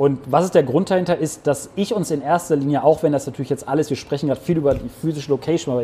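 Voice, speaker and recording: Speaking very fast, a man keeps his pitch variation ordinary. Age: 30s. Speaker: entrepreneur, gaming venue founder. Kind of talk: casual interview with a walking tour of the venue.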